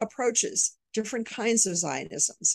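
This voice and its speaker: With an American accent, a woman uses an unremarkable speaking voice at a fairly high pitch with lively intonation. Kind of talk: interview. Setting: video call.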